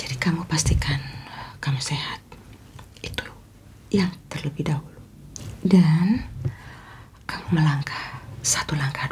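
A soft-spoken woman with a gentle tone and a very deep, low pitch talks at a fairly slow pace with ordinary pitch variation. She leaves long, frequent pauses over light background noise. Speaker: motivational speaker. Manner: soft-spoken, gentle ASMR voice. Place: home room. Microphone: phone near.

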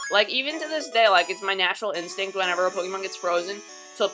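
A fairly quick pace with music in the background. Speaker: let's play gaming commentator. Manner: casual, chatty, frequent filler words.

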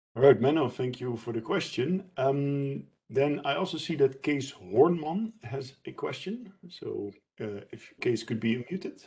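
A man's dark, mellow, somewhat breathy voice has a fairly high pitch and lively intonation. He goes at a fairly slow pace, with big swings in loudness. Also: quiet background. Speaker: event co-host. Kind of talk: event moderation. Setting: video call. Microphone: video call.

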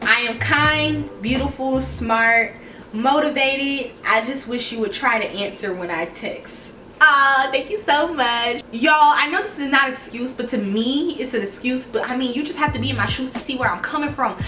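A raised, projected voice with lively intonation moves at a moderate pace, with audible room echo and light background noise. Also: woman. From New Orleans, Louisiana. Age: young. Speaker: YouTuber. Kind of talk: casual talk to camera. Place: home room. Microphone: phone near.

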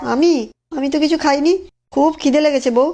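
A woman puts on a whiny character voice. She keeps a moderate pace. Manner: whiny, coy, pleading.

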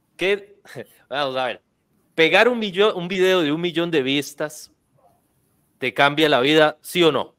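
A man with a fairly high voice speaks at a fairly slow pace, leaving long, frequent pauses. His pitch varies in an ordinary way against a quiet background. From Costa Rica. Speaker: real estate video marketing podcast host. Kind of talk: casual interview. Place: studio. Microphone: studio mic.

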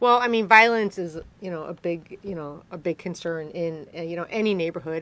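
A woman speaks at a moderate pace in a Chicago accent. Her pitch is fairly low and her intonation fairly even. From Chicago, northwest side. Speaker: city council member. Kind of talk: live call-in interview. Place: studio.

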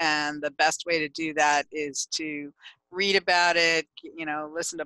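Against a quiet background, a woman with a very deep, low pitch and a bright, sharp tone speaks in a dry sound with no echo. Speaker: podcast guest, attorney. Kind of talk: interview answer. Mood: calm, explanatory. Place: home room. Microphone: headset.

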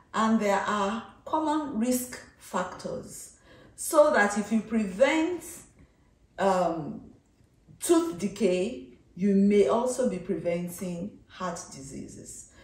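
Very slow speech with very wide pitch swings and big swings in loudness, in audible room echo. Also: woman. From Nigeria (born in Kano, schooled in Ibadan); Nigeria. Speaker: dentistry professor. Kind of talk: interview. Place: home room. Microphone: camera far.

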